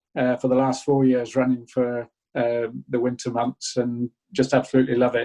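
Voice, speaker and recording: A man with a northern English accent speaks at a moderate pace in a dark, mellow, medium-pitched voice, his intonation monotone and flat, his loudness very even, and the sound dry and close with no echo. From northern England, Buxton, Derbyshire. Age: 70s. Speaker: small business owner. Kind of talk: interview.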